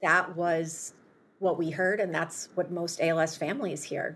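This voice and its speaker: A woman speaks with an American accent at a very slow pace. Her fairly low voice has a monotone, flat intonation. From US Midwest, Chicago. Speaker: healthcare startup founder. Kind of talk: interview.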